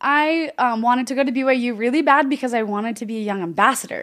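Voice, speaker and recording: At a very fast pace, a woman speaks at a high pitch with lively intonation, on a very clean recording with a silent background. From Oregon, US. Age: 30s. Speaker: author and therapist. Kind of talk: interview conversation. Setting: studio.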